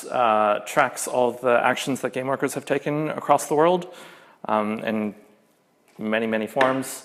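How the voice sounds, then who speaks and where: Speaking in a normal speaking voice at a fairly slow pace, a man with an American accent keeps a medium pitch and fairly even intonation. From US. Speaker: game programmer and union organiser. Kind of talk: conference talk. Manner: casual, many filler words.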